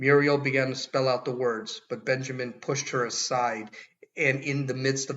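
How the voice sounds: This is a natural reading voice. Nothing else is noted.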